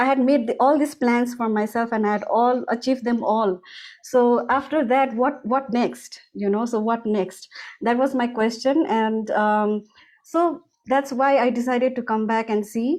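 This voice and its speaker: Over a quiet background, a woman with a Nepali accent speaks at a high pitch, her loudness very even and her pitch variation ordinary. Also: fairly slow pace. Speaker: music school founder. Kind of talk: interview. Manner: halting, many fillers.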